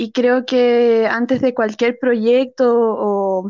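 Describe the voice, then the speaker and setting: Over a quiet background, a woman with a Chilean accent speaks at a high pitch. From rural central Chile. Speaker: actress. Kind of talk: casual interview.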